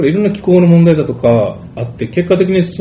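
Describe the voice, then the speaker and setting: A man speaks at a very fast pace in a fairly high pitch over noticeable background noise. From Japan, Fukuoka. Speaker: tv interviewer. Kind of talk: interview. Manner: formal.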